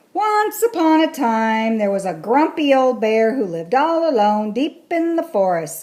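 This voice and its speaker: A woman's gruff, high-pitched put-on character voice at a moderate pace, with very wide pitch swings and hardly any pauses. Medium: read story. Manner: gruff, grumbly.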